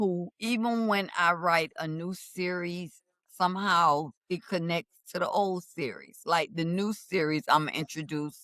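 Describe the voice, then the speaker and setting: Dry and close with no echo, the recording has a woman speaking very slowly at a fairly low pitch with ordinary pitch variation. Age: 70s. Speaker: romance novelist. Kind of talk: podcast interview.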